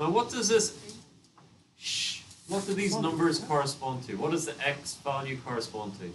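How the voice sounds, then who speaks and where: Against noticeable background noise and audible room echo, a man speaks at a moderate pace, his fairly high voice making very wide pitch swings. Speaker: maths teacher. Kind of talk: classroom lesson. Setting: classroom with students.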